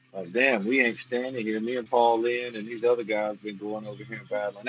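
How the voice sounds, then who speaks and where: An American-accented man talks at a fairly quick pace with hardly any pauses, at medium pitch. His intonation is fairly even while his loudness swings a lot. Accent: self-described redneck. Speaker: armwrestler reviewing matches. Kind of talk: casual livestream commentary.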